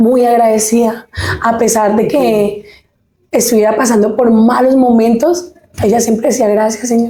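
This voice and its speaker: The woman's pitch is fairly high, her pace fairly slow. Loudness stays very even, and her intonation is fairly even too. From Colombia, Huila (Pitalito), born in Caquetá. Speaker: singer. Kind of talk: interview testimony.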